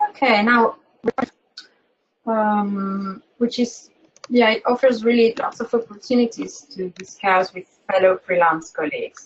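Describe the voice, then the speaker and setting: Speech with a non-native accent and long, frequent pauses. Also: woman, fairly high pitch for a woman, ordinary pitch variation, fairly slow pace. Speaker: webinar moderator. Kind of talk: webinar presentation. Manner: halting, repeats words.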